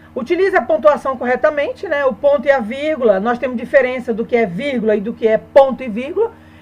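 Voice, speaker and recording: Over noticeable background noise, a woman talks very fast in a high pitch with hardly any pauses. Her intonation is lively. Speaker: Portuguese teacher. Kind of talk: online lesson.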